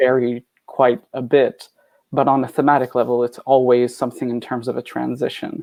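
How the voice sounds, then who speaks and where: With a French Canadian accent, a man talks in a flat monotone on a dry, close recording with no echo. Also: medium pitch for a man, moderate pace. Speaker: poet and anthologist. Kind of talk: panel discussion.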